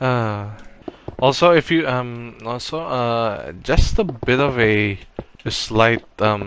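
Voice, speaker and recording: Over noticeable background noise, a man talks at a very slow pace with medium pitch and ordinary pitch variation. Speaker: Minecraft builder YouTuber. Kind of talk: gameplay commentary. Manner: halting, many false starts.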